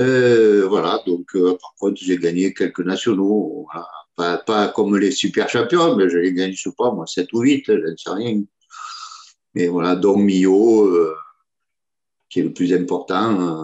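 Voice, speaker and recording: The speech has a fairly slow pace and ordinary pitch variation. Long pauses come often. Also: man, fairly low pitch for a man. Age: 60s. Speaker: petanque player. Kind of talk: interview. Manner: hesitant, many fillers.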